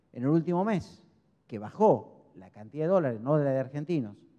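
A man talks in a dark, mellow tone. The background is quiet. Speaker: speaker. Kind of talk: lecture. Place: hall. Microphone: handheld.

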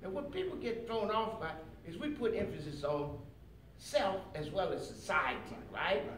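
Delivered at a moderate pace, the speech carries audible room echo and light background noise. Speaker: speaker. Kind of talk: lecture. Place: hall. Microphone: camera far.

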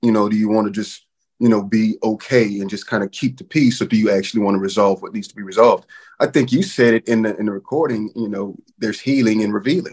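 With an American accent, a man talks at a very fast pace in a fairly low pitch. The background is quiet. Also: ordinary pitch variation. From North Texas, Wichita Falls; Texas. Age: 40s. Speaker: father, panelist; panelist. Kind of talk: panel discussion. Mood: reflective, earnest. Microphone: webcam.

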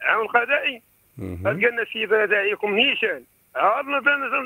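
Dry sound with no echo over a quiet background. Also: man. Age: 60s. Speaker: caller. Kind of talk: phone-in complaint. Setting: phone call. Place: home room.

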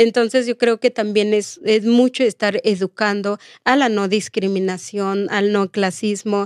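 A woman speaks with fairly even intonation and hardly any pauses. The sound is dry with no echo, over a quiet background. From Oaxaca, Mexico. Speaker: domestic workers' rights activist; guest. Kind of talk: interview. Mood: earnest, reflective. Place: studio. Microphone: studio mic.

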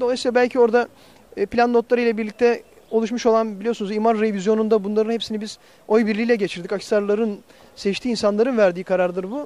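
A man's extremely high voice at a very fast pace, with fairly even intonation and a dry sound with no echo. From Turkey, Akhisar (Manisa, Aegean region); Turkey. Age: 40s. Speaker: mayor and mayoral candidate; mayor, candidate. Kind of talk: interview. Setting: on location, industrial estate. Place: street. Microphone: handheld.

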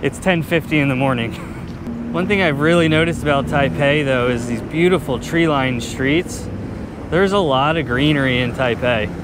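A man at a moderate pace, with ordinary pitch variation, dry sound with no echo and music in the background. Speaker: travel vlogger. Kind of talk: casual vlog chat. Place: street. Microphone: phone near.

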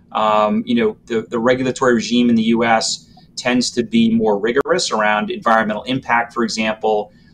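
With an American accent and a normal speaking voice, a man talks at a fairly quick pace with a medium pitch, ordinary pitch variation, very even loudness and hardly any pauses, over light background noise. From Massachusetts, Randolph (Boston area); Massachusetts. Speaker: transit agency executive; panelist. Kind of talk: panel discussion. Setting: video call. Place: office. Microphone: video call.

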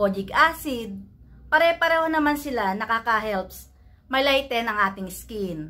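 Her voice is fairly high and bright, sharp in tone, moving slowly with very wide pitch swings as the woman speaks. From Philippines. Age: 40s. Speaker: beauty vlogger. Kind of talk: product review. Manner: halting. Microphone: phone near.

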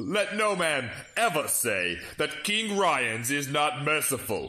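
This man speaks with lively intonation. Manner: taunting, gloating, cruel.

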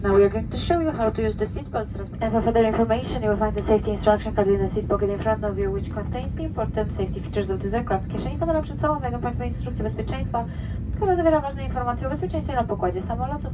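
Noticeable background noise runs through the clip. Over it, a woman speaks very fast. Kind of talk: safety announcement. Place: plane.

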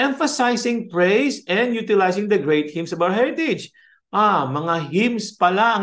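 With lively intonation and a fairly slow pace, a man talks against a quiet background. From Philippines. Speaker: music professor. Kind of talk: lecture. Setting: video call. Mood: warm, conversational teaching. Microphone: webcam.

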